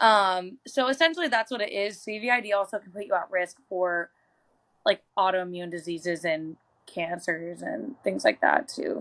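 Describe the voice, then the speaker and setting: A woman with an unremarkable speaking voice, medium pitch, a moderate pace and lively intonation, on a very clean recording with a silent background. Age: 20s. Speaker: chronic illness advocate. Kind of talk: interview.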